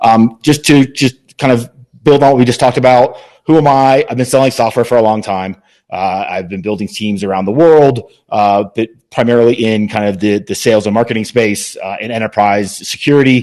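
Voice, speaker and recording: The man talks at a fairly quick pace with a medium-pitched voice. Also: ordinary pitch variation. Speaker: sales leader and conference speaker. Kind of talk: webinar presentation. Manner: fast; filler-heavy, repeats words.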